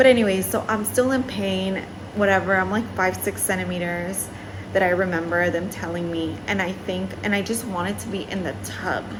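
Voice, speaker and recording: The woman talks at a moderate pace amid noticeable background noise. Audible room echo surrounds her voice. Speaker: vlogger. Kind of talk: casual storytelling vlog. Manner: casual, filler-heavy.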